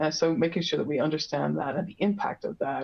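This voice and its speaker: Someone with an Irish accent speaks at a fairly quick pace. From Ireland. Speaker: industry expert presenter. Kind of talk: webinar presentation. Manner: many filler words and restarts.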